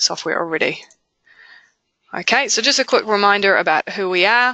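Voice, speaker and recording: Bright and sharp in tone, a woman talks at a moderate pace with a New Zealand accent. The sound is dry and close, with no echo. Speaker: software company presenter. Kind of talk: webinar product presentation. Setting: online webinar. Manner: hesitant, many fillers.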